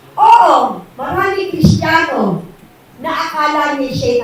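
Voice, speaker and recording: A woman speaks at a fairly slow pace, with noticeable background noise and audible room echo around her. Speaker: preacher. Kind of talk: sermon. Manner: loud.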